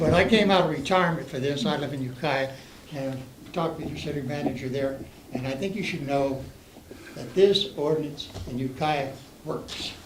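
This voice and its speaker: Over noticeable background noise and with audible room echo, a man talks at a moderate pace in a fairly high pitch, using ordinary pitch variation and long, frequent pauses. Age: 70s. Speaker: public commenter at council meeting. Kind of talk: public comment. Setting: council meeting room. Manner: halting.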